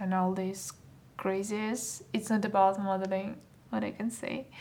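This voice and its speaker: A woman's monotone, flat delivery in a Russian accent. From Russia (Saint Petersburg), born in Moldova. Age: 20s. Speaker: fashion model. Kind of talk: casual interview.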